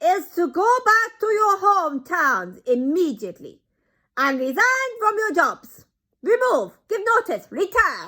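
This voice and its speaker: A woman puts on a shrill character voice at an extremely high pitch, raised and projected. She speaks fairly slowly, her pitch swinging very widely. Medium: read story. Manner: commanding, domineering.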